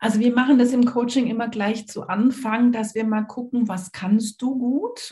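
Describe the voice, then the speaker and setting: A woman's enthusiastic, somewhat breathy voice at a moderate pace. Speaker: learning coach and author. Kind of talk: interview.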